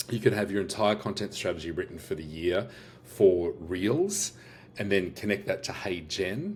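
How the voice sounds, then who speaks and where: With an Australian accent, a man speaks at a moderate pace in a fairly low, somewhat breathy voice with ordinary pitch variation. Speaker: business owner and AI workshop host. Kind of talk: product demo walkthrough. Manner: casual, many fillers and restarts.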